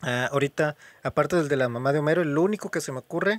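A man talks at a fairly quick pace with ordinary pitch variation in a normal speaking voice, recorded with a dry, close sound and no echo. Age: 20s. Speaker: podcast host. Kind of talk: casual chat.

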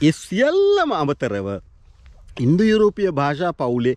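The pace of this man's speech is very slow, with very wide pitch swings. The sound is dry with no echo. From Sri Lanka. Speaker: YouTube vlogger. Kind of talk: video monologue on language and politics. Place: open country. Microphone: phone near.

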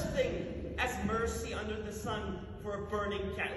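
A man at a fairly slow pace, with noticeable background noise and audible room echo. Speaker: actor performing a monologue. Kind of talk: theatrical monologue. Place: stage. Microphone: camera far.

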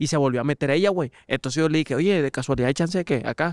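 A man speaks with ordinary pitch variation over a quiet background, the sound dry with no echo. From Mexico. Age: 20s. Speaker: former youth footballer, content creator; content creator. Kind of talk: casual chat. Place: studio. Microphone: studio mic.

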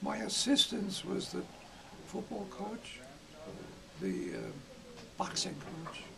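The pace is very slow, with long, frequent pauses. Noticeable background noise sits behind the voice. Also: man. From Iowa. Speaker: retired gymnastics coach. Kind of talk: interview answer. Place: home room.

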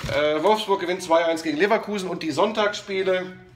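There is noticeable background noise. Over it, a man speaks with a high pitch. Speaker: sports commentator. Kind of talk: casual talk to camera. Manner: energetic, chatty.

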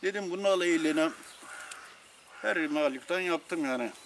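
A man talks at a high pitch. Light background noise runs underneath. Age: 70s. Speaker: retired villager, hobby model maker. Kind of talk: interview answer. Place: garden.

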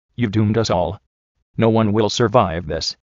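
A man's fairly low voice proceeds at a moderate speed. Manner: grave, ominous.

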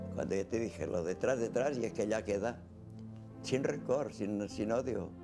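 Clear background music under a man's fairly low, fairly slow voice with ordinary pitch variation. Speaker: elderly witness recalling his life. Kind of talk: interview answer. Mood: calm, reflective, without bitterness. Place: home room.

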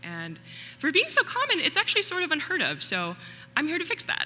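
Music runs in the background. A woman's pitch swings very widely as she speaks. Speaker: presenter. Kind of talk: public talk. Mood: light, playful. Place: stage. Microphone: podium.

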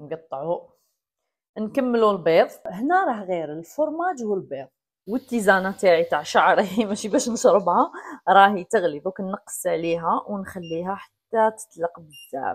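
A woman at a fairly slow pace with lively intonation, over a quiet background. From Algeria. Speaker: cooking vlogger. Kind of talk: cooking tutorial. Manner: casual, chatty.

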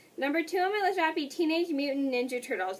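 The woman talks very fast. Lively intonation runs through her speech. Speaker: vlogger. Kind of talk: casual vlog chat. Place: home room. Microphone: webcam.

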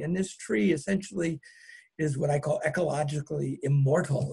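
The speaker has an unremarkable speaking voice with ordinary pitch variation and a moderate pace. The background is quiet. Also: man. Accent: American. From California, Marin County; California. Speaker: botanist and author. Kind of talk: lecture. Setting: video call.

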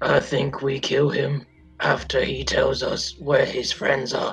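Raspy and unhurried, a put-on character voice moves at a fairly slow pace over faint music in the background. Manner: blunt, gleefully menacing.

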